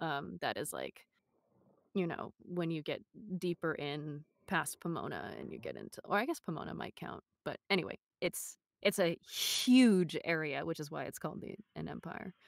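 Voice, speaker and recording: A woman with an American accent at a moderate pace, big swings in loudness, and a dry, close sound with no echo. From US West (Los Angeles, San Gabriel Valley). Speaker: voice actor and audiobook narrator. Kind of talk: interview.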